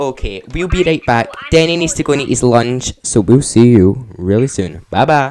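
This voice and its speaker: The delivery moves at a moderate pace. There are hardly any pauses. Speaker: podcast co-host. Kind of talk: casual chat.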